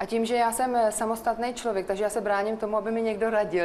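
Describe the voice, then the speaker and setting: A very fast pace over noticeable background noise. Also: woman. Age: 40s. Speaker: guest sharing personal story. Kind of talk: personal testimony in radio chat.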